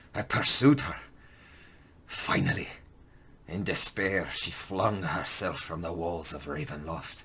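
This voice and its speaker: A man doing a raspy, put-on character voice speaks at a fairly slow pace with a very deep, low pitch. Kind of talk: audio drama monologue for tabletop game. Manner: slow, brooding, solemn.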